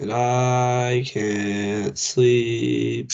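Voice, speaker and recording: A put-on, robotic character voice from a man, medium in pitch. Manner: flat, robotic monotone.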